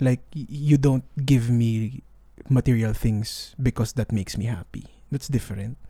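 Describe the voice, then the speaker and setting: A man talks with a dark, mellow tone. He sounds somewhat breathy, and his intonation is fairly even. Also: medium pitch for a man, moderate pace. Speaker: podcast co-host. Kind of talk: casual chat. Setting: converted outdoor room.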